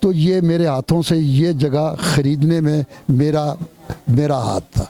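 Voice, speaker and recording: Here a man speaks at a fairly high pitch with fairly even intonation. Noticeable background noise is present. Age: 70s. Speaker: housing charity founder. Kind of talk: interview.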